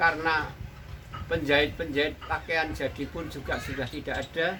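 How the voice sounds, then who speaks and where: Against noticeable background noise, a man speaks at a moderate pace in a fairly high pitch with monotone, flat intonation. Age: 60s. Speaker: tailor and sewing school founder. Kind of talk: interview monologue.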